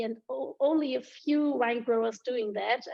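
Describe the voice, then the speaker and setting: A woman with a German accent speaks at a moderate pace in a high voice. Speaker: wine ambassador and schoolteacher. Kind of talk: virtual wine tasting chat. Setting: video call. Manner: halting, searching for words.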